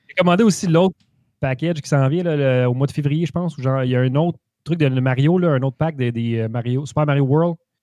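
Fairly quick male speech, fairly high in pitch and dark, mellow in tone, with ordinary pitch variation, a dry sound with no echo and a quiet background. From Quebec. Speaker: gaming podcast co-host. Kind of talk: casual chat. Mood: relaxed, festive, laughing. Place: home room. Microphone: video call.

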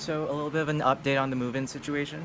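Noticeable background noise behind a male speaker. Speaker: college freshman vlogger. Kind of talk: casual vlog chat. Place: car. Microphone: phone near.

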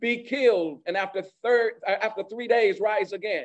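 A man's high voice at a moderate pace, with ordinary pitch variation, over a quiet background. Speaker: pastor. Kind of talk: sermon. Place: church. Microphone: podium.

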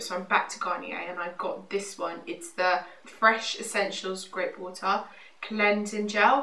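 With audible room echo behind her, a woman speaks at a medium pitch in a bright, sharp tone.

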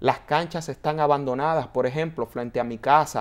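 A man is the speaker. The intonation stays fairly even. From Dominican Republic, San Antonio de Guerra; Dominican Republic. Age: 30s. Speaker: broadcaster and mayoral candidate; candidate. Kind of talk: interview. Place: studio. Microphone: lapel.

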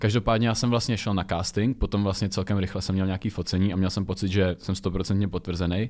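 A man with a very deep, low voice speaks very fast in a monotone, flat delivery. The recording is very clean, with a silent background. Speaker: reality show contestant and model. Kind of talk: casual chat. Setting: studio.

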